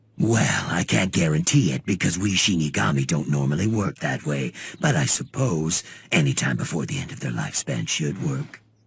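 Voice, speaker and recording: Using a cartoonish character voice with a very deep, low pitch, a man speaks at a moderate pace. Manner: casual, laid-back.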